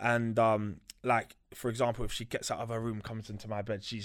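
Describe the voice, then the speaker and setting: A man speaks in a London accent. His pitch sits in the medium range. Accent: London, multicultural London English. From West London. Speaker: recording studio owner. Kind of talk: casual interview. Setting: studio.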